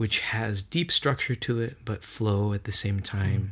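A somewhat breathy, fairly low male voice in a very clean recording with a silent background. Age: 40s. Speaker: church music minister and spiritual director. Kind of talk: casual interview conversation. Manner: animated.

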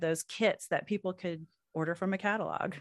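A woman with an American accent speaks at a moderate pace and a medium pitch. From Oklahoma (Anadarko). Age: 40s. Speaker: podcast host. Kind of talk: casual interview conversation.

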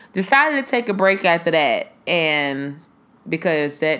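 A woman's voice has a fairly low pitch and a bright, sharp tone. She speaks in an animated way. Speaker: podcast host. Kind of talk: casual chat monologue.

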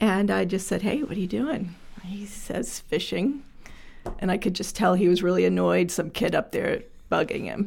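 A woman with a medium pitch and vocal fry talks at a moderate pace. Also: ordinary pitch variation. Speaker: social enterprise director. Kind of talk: interview conversation. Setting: studio.

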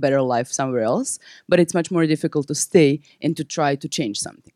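In a Serbian accent, a woman speaks with lively intonation in a dark, mellow tone at a very deep, low pitch. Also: dry, close sound with no echo. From Serbia (Belgrade). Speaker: nonprofit founder and activist. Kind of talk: panel presentation.

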